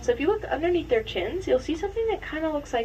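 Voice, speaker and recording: Female speech with noticeable background noise. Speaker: tour guide. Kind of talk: guided tour commentary. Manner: animated; whispering.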